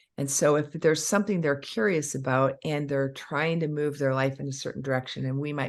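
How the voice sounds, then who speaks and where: A woman's very deep, low voice at a fairly quick pace, with ordinary pitch variation, in a very clean recording with a silent background. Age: 60s. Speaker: dentist. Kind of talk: podcast interview. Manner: animated.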